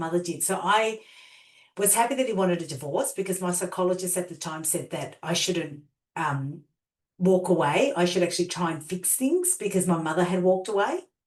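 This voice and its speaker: Someone with an Australian accent talks at a fairly quick pace with ordinary pitch variation. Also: woman, medium pitch for a woman. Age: 50s. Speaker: transformational coach and healer. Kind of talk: interview storytelling.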